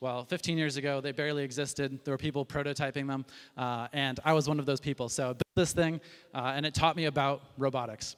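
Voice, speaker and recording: Very fast and monotone, a man speaks with flat intonation at a fairly high pitch. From US Midwest, Chicago. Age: 30s. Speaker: company founder and CEO. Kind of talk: presentation. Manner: casual with frequent fillers.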